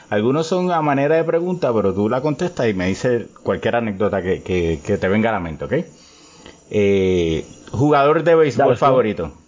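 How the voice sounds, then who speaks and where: Moderate pace from a man at medium pitch, with very wide pitch swings and noticeable background noise. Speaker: sports podcast host. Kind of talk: casual interview chat.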